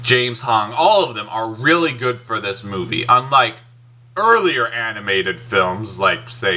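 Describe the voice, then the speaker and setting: A man speaks at a fairly slow pace with an enthusiastic tone and big swings in loudness. His pitch is medium, with ordinary variation. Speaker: movie reviewer. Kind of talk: movie review. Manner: casual, enthusiastic; halting, self-correcting.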